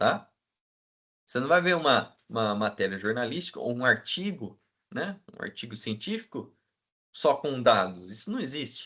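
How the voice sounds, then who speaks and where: A man speaks at a moderate pace and a medium pitch, his tone bright and sharp. His pitch swings very widely, with long, frequent pauses against a quiet background. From Brazil, interior of São Paulo state. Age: 20s. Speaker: teacher. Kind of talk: lecture. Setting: video call. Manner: casual, conversational.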